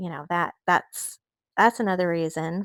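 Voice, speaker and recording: A woman with an American accent at a medium pitch and moderate pace, in a very clean recording with a silent background and a dry, close sound with no echo. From Oklahoma, US. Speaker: art YouTuber. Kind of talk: casual chat while painting. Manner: laid-back, calm; hesitant, many fillers.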